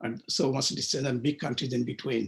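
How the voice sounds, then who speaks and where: A man speaks with a Bengali accent. His voice is somewhat breathy. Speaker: author. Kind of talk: interview. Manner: hesitant with fillers.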